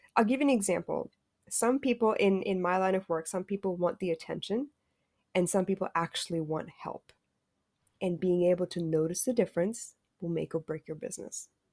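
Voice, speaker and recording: A plain, everyday voice talks at a fairly quick pace with ordinary pitch variation. The sound is dry and close, with no echo. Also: woman, medium pitch for a woman. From raised in many countries (Singapore, London, Australia, US). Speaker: emotional intelligence specialist. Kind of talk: casual interview.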